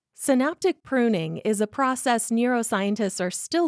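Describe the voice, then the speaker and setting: A woman with a normal speaking voice and lively intonation talks at a fairly slow pace, with a dry, close sound with no echo on a very clean recording with a silent background. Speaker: voiceover artist, podcast host. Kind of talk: podcast monologue, reflective essay narration. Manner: calm, measured, conversational.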